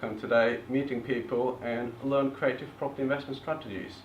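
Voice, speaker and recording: A man speaks at a fairly quick pace with medium pitch and fairly even intonation. Audible room echo surrounds his voice. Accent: Eastern European. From eastern Bulgaria, Turkish family. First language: Turkish or Bulgarian. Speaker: property investor presenter. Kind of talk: seminar presentation.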